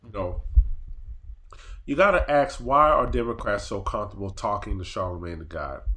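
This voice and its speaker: A man at a moderate pace, with long, frequent pauses, big swings in loudness and audible room echo. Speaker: political commentary vlogger. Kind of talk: casual commentary rant. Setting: at family's house.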